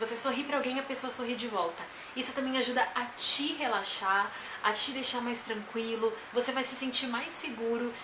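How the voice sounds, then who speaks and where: Loud and high-pitched, a woman speaks at a moderate pace with fairly even intonation, amid noticeable background noise and audible room echo. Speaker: vlogger and teacher. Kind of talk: tutorial.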